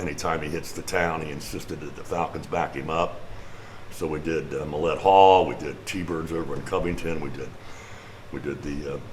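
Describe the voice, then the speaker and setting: Noticeable background noise and audible room echo surround a man with a very deep, low pitch. He speaks at a moderate pace with fairly even intonation. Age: 70s. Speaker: musician. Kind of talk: casual chat. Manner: halting.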